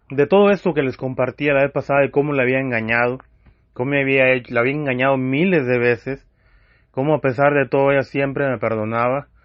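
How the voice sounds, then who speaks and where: Fairly quick speech from a man at medium pitch. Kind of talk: testimony. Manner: loud; impassioned.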